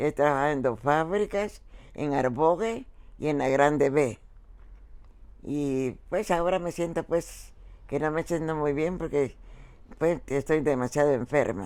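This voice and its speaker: Speech comes at a fairly slow pace with ordinary pitch variation, broken by long, frequent pauses. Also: woman, very deep, low pitch for a woman. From El Salvador. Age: 90s. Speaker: retired factory worker. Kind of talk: interview. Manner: halting.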